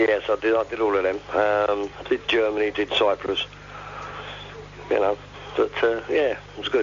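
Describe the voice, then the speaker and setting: A man in a London accent talks at a moderate pace with long, frequent pauses over noticeable background noise. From East London. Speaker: caller. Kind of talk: casual chat.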